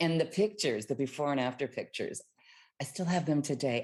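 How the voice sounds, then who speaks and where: A woman with an American accent speaks at a very deep, low pitch with lively intonation over a quiet background. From Texas. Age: 40s. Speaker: recovering alcoholic and bodybuilding competitor. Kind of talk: interview testimony.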